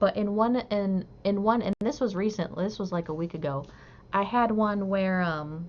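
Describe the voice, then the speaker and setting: At a moderate pace, a woman talks at medium pitch with a slight northern US accent. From US Midwest, Southeast Michigan. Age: 50s. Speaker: crochet livestreamer. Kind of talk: casual livestream chat. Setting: live stream, reading chat.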